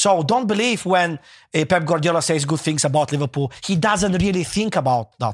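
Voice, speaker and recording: On a very clean recording with a silent background and a dry, close sound with no echo, a man speaks at a moderate pace in a high voice with a passionate tone and lively intonation. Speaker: football podcast co-host. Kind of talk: casual chat. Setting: studio.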